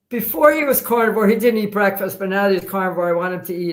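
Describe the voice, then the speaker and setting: An ordinary speaking voice from a woman, medium in pitch with ordinary pitch variation. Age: 60s. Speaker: guest, patient's wife. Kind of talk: live stream interview.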